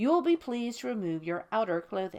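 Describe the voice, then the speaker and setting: A woman uses a put-on character voice at a fairly high pitch. Her pitch swings very widely, and she talks at a fairly quick pace. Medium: read story. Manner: formal, polite.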